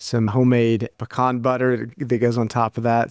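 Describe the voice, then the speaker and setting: In an American accent, the voice moves at a moderate pace, dry and close with no echo on a very clean recording with a silent background. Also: man. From US, Kentucky. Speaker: army dietitian and researcher. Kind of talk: interview.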